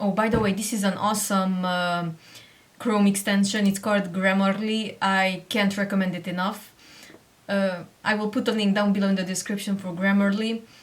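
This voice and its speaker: Somewhat breathy, a woman speaks with a Hungarian accent. Her intonation is monotone and flat, at a moderate pace. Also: medium pitch for a woman. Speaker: online seller and tutorial creator. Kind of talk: tutorial.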